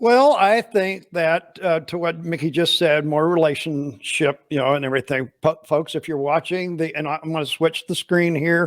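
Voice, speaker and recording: The recording is very clean with a silent background and a dry, close sound with no echo, carrying a man's fairly high-pitched, a plain, everyday voice that hardly pauses. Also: ordinary pitch variation, moderate pace. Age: 60s. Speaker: podcast host, cleaning industry educator. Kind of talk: casual interview chat.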